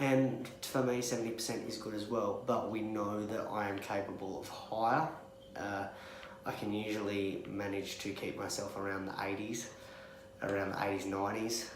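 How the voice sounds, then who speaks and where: A quiet voice at a moderate pace with fairly even intonation, amid noticeable background noise and audible room echo. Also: man, fairly low pitch for a man. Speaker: vlogger with cystic fibrosis. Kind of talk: candid vlog. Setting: hospital room. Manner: quiet, subdued.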